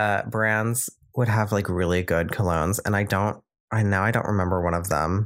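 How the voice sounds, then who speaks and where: An unremarkable speaking voice from a man, fairly low in pitch and at a fairly quick pace, on a very clean recording with a silent background. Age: under 31. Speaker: podcast co-host. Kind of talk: casual chat.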